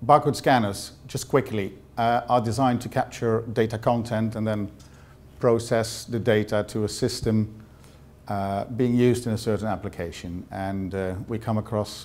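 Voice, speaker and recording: This man talks with a Dutch accent at a fairly low pitch. His pace is moderate and his intonation fairly even. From Netherlands. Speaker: sales representative. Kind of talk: presentation. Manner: halting, many fillers.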